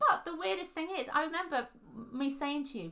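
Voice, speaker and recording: A raised, projected voice with very wide pitch swings. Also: woman. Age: 30s. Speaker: podcast co-host. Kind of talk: casual chat. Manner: hesitant, many fillers.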